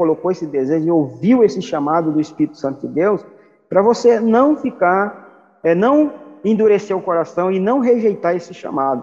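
A man speaks at a moderate pace, pitched high, with very wide pitch swings. His tone is dark and mellow. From Piauí, Brazil (Regeneração). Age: 50s. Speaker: pastor and church planter. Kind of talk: interview testimony.

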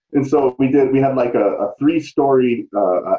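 A man has an ordinary speaking voice, medium in pitch, with fairly even intonation at a moderate pace. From US Midwest, St. Louis. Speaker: breathwork instructor and jiu-jitsu trainer. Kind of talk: casual interview.

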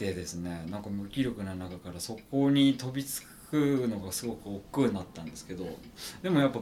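At a moderate pace, a man with a fairly low pitch and a dark, mellow tone speaks with lively intonation and big swings in loudness. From Gunma, Japan. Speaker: backpack maker. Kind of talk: casual chat.

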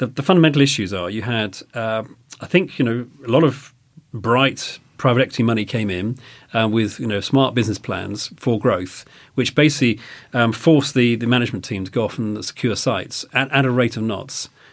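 A man talks at a fairly quick pace in a normal speaking voice with ordinary pitch variation. The recording is very clean, the background silent. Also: medium pitch for a man. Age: 50s. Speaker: restaurant business executive. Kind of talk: interview.

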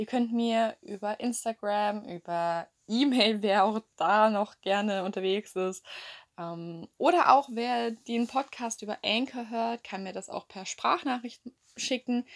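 The speaker goes at a very slow pace with big swings in loudness. The recording is very clean, with a silent background. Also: woman, fairly high pitch for a woman, ordinary pitch variation. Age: young. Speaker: podcaster. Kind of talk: casual monologue. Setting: lying in bed at home. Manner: chatty.

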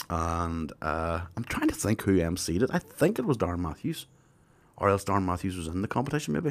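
With lively intonation, a man speaks at a very deep, low pitch. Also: fairly quick pace. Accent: Tyrone. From Northern Ireland. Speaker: comedian. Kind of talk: casual chat.

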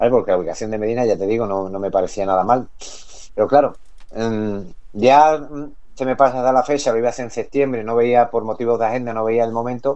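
A man talks at a very fast pace. His tone is dark and mellow, with fairly even intonation. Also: medium pitch for a man. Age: 40s. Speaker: electronic music MC and DJ. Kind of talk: radio interview. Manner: halting, repeats words.

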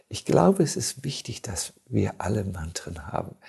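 This man talks fairly slowly in a somewhat breathy voice, his pitch swinging very widely. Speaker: monk and spiritual teacher. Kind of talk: casual chat. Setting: studio.

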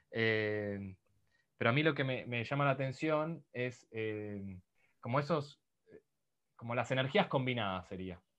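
A man at a medium pitch with ordinary pitch variation, fairly slow in pace, against a quiet background. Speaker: podcast host. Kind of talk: interview.

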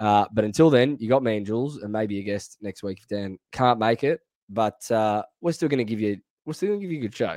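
With an Australian accent, a man talks in a dry, close sound with no echo. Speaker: AFL fan podcast host. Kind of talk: casual sports chat. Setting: video call over VPN connection.

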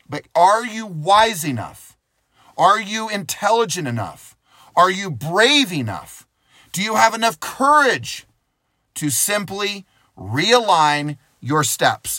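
On a very clean recording with a silent background, a man with a high pitch speaks very slowly in a raised, projected voice, his bright, sharp tone sweeping through very wide pitch swings, with long, frequent pauses. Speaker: motivational speaker. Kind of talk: motivational talk.

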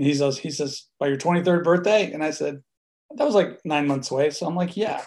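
A man's fairly high-pitched, plain, everyday voice with an American accent, at a fairly quick pace with ordinary pitch variation. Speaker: music producer and studio owner. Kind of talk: interview.

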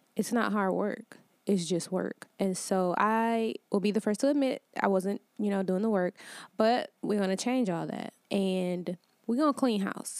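A woman with an American accent has an ordinary speaking voice, medium in pitch, at a fairly slow pace. The sound is dry and close with no echo, in a very clean recording with a silent background. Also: ordinary pitch variation. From Detroit, Michigan. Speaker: life coach podcast host. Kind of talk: solo motivational talk. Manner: casual, conversational.

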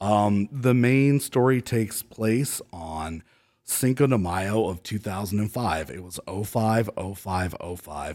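At a very slow pace, a man with a fairly low pitch talks with ordinary pitch variation and big swings in loudness in a very clean recording with a silent background. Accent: American. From Ohio, US Midwest (Cleveland). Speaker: labor union organizer. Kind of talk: storytelling in casual interview.

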